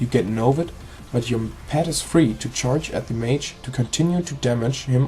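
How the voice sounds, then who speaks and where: A man with a non-native accent talks at a moderate pace in a medium pitch, with ordinary pitch variation and noticeable background noise. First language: not English. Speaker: gaming video creator. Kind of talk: tutorial. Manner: halting.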